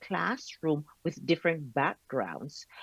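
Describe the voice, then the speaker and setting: A woman with a Jamaican accent, dry, close sound with no echo, and a quiet background. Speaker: professor. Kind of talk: lecture. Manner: slow and deliberate.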